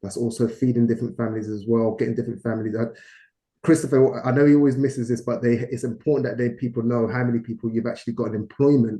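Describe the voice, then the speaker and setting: A very fast man with a British accent, a dark, mellow tone, medium pitch and fairly even intonation. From London, England. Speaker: business partner, investor. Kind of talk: investor presentation talk. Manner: hesitant, many fillers.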